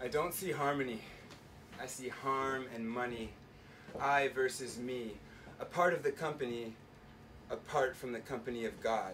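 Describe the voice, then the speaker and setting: Noticeable background noise sits behind a man speaking at a moderate pace with long, frequent pauses. His medium pitch carries fairly even intonation. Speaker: spoken word poet. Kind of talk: live spoken word poetry performance. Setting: live venue, bar.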